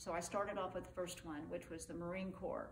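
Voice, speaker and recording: With a Texan accent, the speaker keeps a moderate pace and fairly even intonation, with noticeable background noise and audible room echo. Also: woman. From West Texas (Abilene). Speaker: army veteran. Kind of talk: oral history interview. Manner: conversational, with hesitations.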